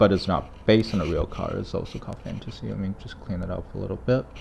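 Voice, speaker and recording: Talking at a very fast pace, a man with a fairly low pitch and ordinary pitch variation is heard over noticeable background noise. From China. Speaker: toy collector youtuber. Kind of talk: casual product review. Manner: hesitant, many fillers.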